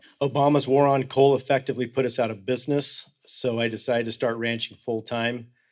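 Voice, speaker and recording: Speaking at a moderate pace, a man uses a monotone, flat intonation with an American accent. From Colorado. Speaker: rancher. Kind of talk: panel discussion. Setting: stage with audience.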